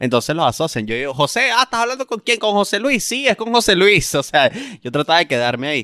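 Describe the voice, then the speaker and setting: A man with a Venezuelan accent talks very fast in a high, bright, sharp voice with very wide pitch swings, recorded dry and close with no echo on a very clean track with a silent background. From Venezuela, Punto Fijo, Falcón state. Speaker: stand-up comedian. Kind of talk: casual chat.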